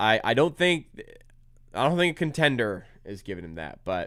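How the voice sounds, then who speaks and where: Animated in tone, a man talks at a moderate pace with vocal fry and very wide pitch swings. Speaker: sports YouTuber hosting a live watch-along. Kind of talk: live game reaction commentary.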